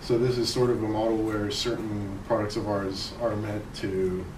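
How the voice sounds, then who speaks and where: Through audible room echo and noticeable background noise, a man speaks at a fairly low pitch with fairly even intonation. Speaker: conference presenter, spacecraft engineer. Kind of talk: technical conference talk. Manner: fast.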